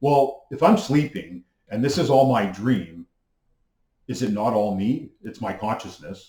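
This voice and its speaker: The voice has a Canadian accent, a dark, mellow tone, lively intonation and a somewhat breathy quality. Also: man, medium pitch for a man. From Canada. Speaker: YouTuber on mysticism. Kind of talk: monologue lecture. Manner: fast; hesitant fillers.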